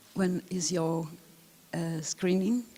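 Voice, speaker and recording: A woman's very slow voice, fairly low-pitched, with a dark, mellow tone. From Italy. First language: Italian. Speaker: film historian, lecturer. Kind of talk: lecture. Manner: halting, many fillers.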